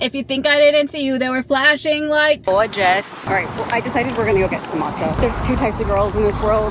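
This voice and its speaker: A woman speaks at a fairly quick pace in a fairly high pitch with ordinary pitch variation, over noticeable background noise. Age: 30s. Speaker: lifestyle vlogger. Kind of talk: casual vlog monologue. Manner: loud when nervous; chatty.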